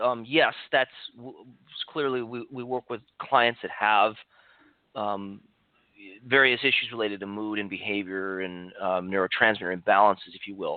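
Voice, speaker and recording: A man speaks at a medium pitch with lively intonation, big swings in loudness, and long, frequent pauses. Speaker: clinical nutritionist. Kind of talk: podcast interview. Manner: fast.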